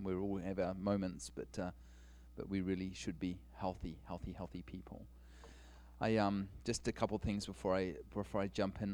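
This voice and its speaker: A man speaks with a very deep, low voice and vocal fry. The recording is very clean, with a silent background. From New Zealand. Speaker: guest preacher. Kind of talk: sermon. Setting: church stage with congregation.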